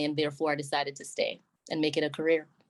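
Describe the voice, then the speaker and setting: With a Jamaican accent, a woman speaks at a fairly quick pace. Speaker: army sergeant major. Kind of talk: interview.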